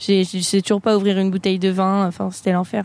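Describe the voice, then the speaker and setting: A woman speaks at a moderate pace. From France, Avignon. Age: 20s. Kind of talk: casual chat.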